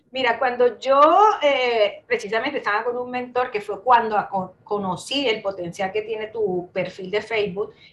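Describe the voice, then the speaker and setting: A woman's fairly high voice with ordinary pitch variation, at a moderate pace. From Colombia. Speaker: digital marketer. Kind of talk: interview. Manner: halting with repetitions.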